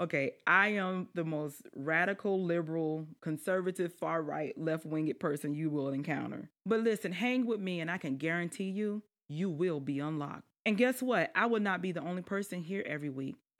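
This woman talks in a Southern US accent with an animated, warm tone. She keeps a moderate pace with hardly any pauses. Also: ordinary pitch variation. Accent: Southern US, noticeable twang. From South Carolina lowlands. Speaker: podcast host, life strategist and government official. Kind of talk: podcast introduction, casual address to audience. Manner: animated, warm, chatty.

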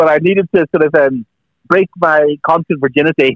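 A man with a Northern Irish accent speaks at a fairly high pitch with ordinary pitch variation. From Northern Ireland. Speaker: music author. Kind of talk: radio interview. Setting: phone call.

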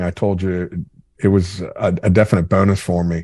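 A man speaks in a dark, mellow tone. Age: 50s. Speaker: fishing entrepreneur. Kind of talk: interview. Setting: remote call. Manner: loud.

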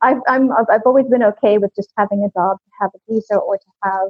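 Music plays in the background as a woman with an American accent speaks. Her voice is fairly high, with fairly even intonation. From US, California. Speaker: serial expat, English teacher. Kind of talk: casual interview.

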